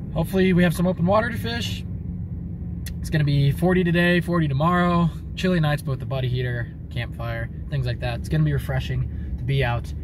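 In a dry sound with no echo, a man speaks at a fairly quick pace over noticeable background noise. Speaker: outdoors vlogger. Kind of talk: casual vlog chat. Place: car. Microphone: phone near.

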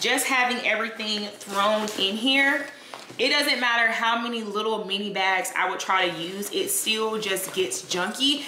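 A woman speaks at a fairly slow pace, with light background noise and audible room echo. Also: ordinary pitch variation. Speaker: fitness vlogger. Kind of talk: casual vlog chat. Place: home room.

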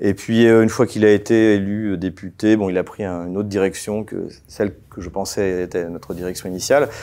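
This man has a fairly low pitch and a dark, mellow tone. He speaks at a fairly quick pace with fairly even intonation and hardly any pauses. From France, Champagne; France. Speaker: political analyst; guest. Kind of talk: interview. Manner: hesitant, many fillers. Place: studio. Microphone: lapel.

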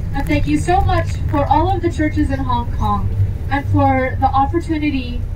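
Over noticeable background noise, a woman talks at a fairly slow pace. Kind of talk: spoken prayer. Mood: calm, grateful. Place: bus.

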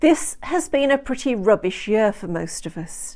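A woman's dark, mellow tone at medium pitch, fairly slow in pace, with big pitch swings

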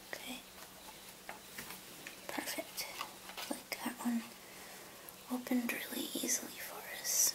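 Whispering at a fairly slow pace, the woman leaves long pauses again and again. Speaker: ASMR creator. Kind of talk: ASMR whisper video. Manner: whispered, soft-spoken; soothing. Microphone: studio mic.

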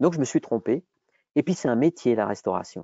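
Against a quiet background, a man talks at a moderate pace with lively intonation, in a dry sound with no echo. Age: 50s. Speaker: entrepreneur, former gym owner; guest. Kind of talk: webinar interview. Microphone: earbuds.

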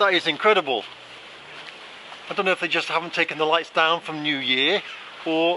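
Over light background noise, a man speaks in a high voice. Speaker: travel vlogger. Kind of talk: casual vlog chat. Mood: playful, joking. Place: street. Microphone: phone near.

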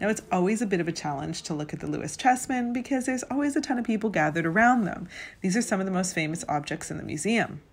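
In an enthusiastic tone, a woman rushes along at a very fast pace with hardly any pauses, very wide pitch swings and a somewhat breathy voice. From Vancouver, Canada; British Columbia, Canada. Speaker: tour guide. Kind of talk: guided tour narration to camera. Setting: outdoors and inside a museum, video. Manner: enthusiastic, friendly. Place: hall. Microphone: phone near.

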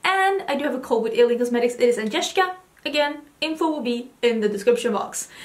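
Speaking very fast, a woman uses a high pitch and lively intonation. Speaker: makeup vlogger. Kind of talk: casual vlog chat. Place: home room.

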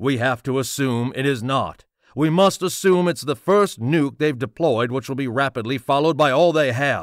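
In a very clean recording with a silent background, a man with an unremarkable speaking voice talks at a moderate pace and medium pitch, his intonation lively. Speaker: audiobook narrator and voice actor. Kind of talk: political thriller narration with dialogue.

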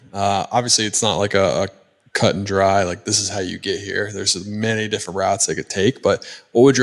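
The man talks at a very fast pace with a fairly low pitch. The background is quiet. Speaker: podcast host and corporate pilot; podcast host. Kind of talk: casual interview. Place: home room. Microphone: handheld.

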